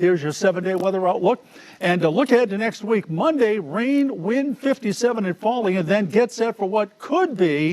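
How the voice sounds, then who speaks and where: A man talks at a moderate speed, his intonation lively throughout. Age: 60s. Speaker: TV meteorologist. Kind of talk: weather forecast; farewell speech.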